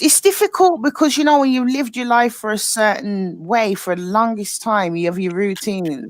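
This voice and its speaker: A woman with a British accent, lively intonation and a moderate pace. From UK. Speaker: livestream chat guest. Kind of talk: casual chat.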